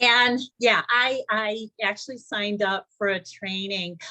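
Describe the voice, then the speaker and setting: A woman's bright, sharp voice, fairly high-pitched, at a very slow pace. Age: 60s. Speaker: first-time marathoner. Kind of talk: testimony.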